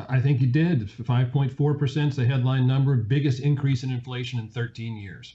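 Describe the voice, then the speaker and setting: A man's somewhat breathy, dark and mellow voice with an American accent, at a moderate pace with fairly even intonation and hardly any pauses. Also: medium pitch for a man. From US, Virginia. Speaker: financial analyst. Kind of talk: interview.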